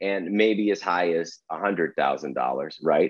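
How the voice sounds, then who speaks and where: In an ordinary speaking voice with an American accent, someone talks at a moderate pace with lively intonation. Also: man. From Arizona. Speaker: angel investor. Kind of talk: interview.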